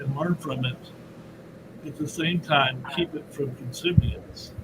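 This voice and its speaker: Noticeable background noise accompanies a man with a fairly high pitch, fairly even intonation and a fairly slow pace. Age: 70s. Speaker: horror author. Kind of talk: panel discussion.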